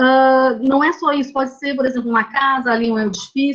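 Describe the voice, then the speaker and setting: A woman's high voice moves along at an average speed. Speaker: architect and university lecturer. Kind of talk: lecture. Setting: video call.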